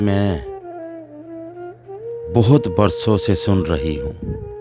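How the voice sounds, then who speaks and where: A man with a fairly low pitch and very wide pitch swings, music in the background. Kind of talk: poetry reading. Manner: expressive, emotional.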